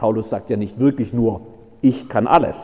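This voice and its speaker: A man's medium-pitched voice, dark and mellow in tone, at a moderate pace. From Baden-Württemberg. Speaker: pastor. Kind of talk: sermon.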